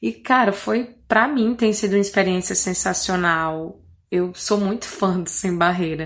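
A woman's medium-pitched voice with ordinary pitch variation and a northeastern Brazilian accent. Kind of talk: recorded self-introduction. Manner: clear diction.

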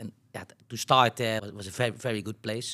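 This man speaks with a Dutch accent. His medium pitch carries fairly even intonation. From Netherlands, North Brabant. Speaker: business executive. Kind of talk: interview.

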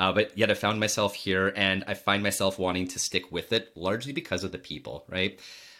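A man with an unremarkable speaking voice talks at a fairly quick pace with hardly any pauses, in a fairly low pitch with fairly even intonation. The recording is very clean, with a silent background. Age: 40s. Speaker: podcast host and iGaming startup founder. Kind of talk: casual interview.

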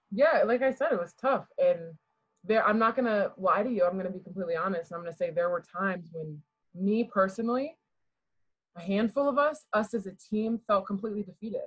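Somewhat breathy, a woman with an American accent speaks at a medium pitch. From Garrett County, Maryland. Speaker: college basketball player. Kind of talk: podcast interview. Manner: quiet-natured but articulate.

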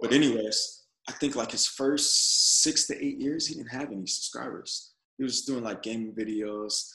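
With an American accent, a man talks at a moderate pace in a plain, everyday voice, his pitch medium and its variation ordinary. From Texas, San Antonio. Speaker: Navy veteran, entrepreneur and actor. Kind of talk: casual interview chat.

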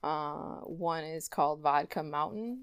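The intonation is lively, and the recording is very clean with a silent background. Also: woman. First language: German. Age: 30s. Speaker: poet and small press publisher. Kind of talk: casual interview. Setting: in a home.

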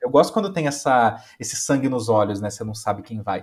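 Somewhat breathy and animated, a man talks at a fairly quick pace. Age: 20s. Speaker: music enthusiast guest. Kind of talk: casual chat.

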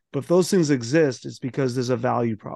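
A man's unremarkable speaking voice with an American accent, medium pitch and a fairly quick pace. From Boston, Massachusetts (South Boston). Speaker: motivational speaker and author. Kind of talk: interview conversation.

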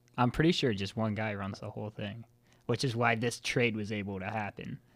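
Talking at a fairly quick pace, a man has medium pitch and an ordinary speaking voice. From Maryland, US. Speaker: lacrosse podcast co-host. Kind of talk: casual chat.

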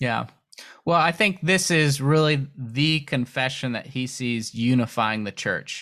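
Recorded very cleanly against a silent background, a man with a normal speaking voice talks at a fairly slow pace and medium pitch with ordinary pitch variation. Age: 30s. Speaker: book translator and editor. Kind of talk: casual interview. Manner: uses frequent filler words.

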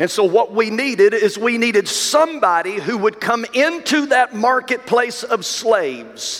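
A man's raised, projected voice, high in pitch with very wide pitch swings, over noticeable background noise. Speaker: pastor. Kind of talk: sermon, preacher in full flow. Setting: church. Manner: emphatic, rhythmic repetition ("some of you have been sold to the sin of..."); warm, direct, addressing the congregation.

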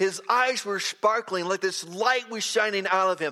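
A man projects his raised voice at a high pitch, with a bright, sharp tone. He speaks at a fairly slow pace with ordinary pitch variation. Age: 60s. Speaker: preacher. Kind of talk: sermon. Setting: church with congregation.

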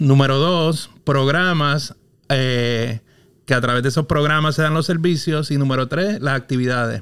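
Ordinary pitch variation in a male voice that sits fairly high. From Puerto Rico, Quebradillas. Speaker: urban planner and consultant. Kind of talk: casual interview. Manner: halting, repeats words.

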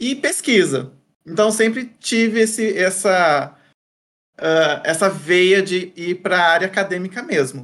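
His pitch is high for a man, and his intonation is lively. The man keeps to a fairly slow pace. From interior of São Paulo state, Brazil. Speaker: content creator, former academic. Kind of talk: interview conversation. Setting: studio videocast.

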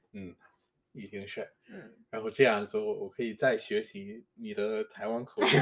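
The man talks at a fairly slow pace. His loudness swings a lot. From Jamaica. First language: English (speaking Chinese). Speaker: podcast host. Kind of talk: casual chat. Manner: halting.

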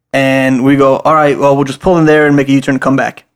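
A man with an American accent talks at a fairly quick pace in an unremarkable speaking voice with a fairly high pitch. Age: 20s. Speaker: podcast co-host. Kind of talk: casual chat.

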